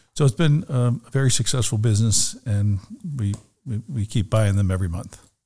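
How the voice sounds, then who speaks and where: A man with an American accent talks at a fairly quick pace, sounding somewhat breathy. His pitch is medium, with ordinary pitch variation. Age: 60s. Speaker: real estate broker. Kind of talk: interview. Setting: studio.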